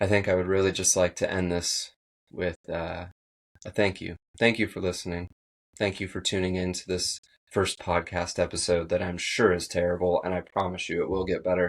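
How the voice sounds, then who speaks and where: Shaky and monotone, a man talks at a fairly quick pace in a very deep, low voice with flat intonation. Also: very clean recording, silent background. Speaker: podcast host. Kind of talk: motivational monologue.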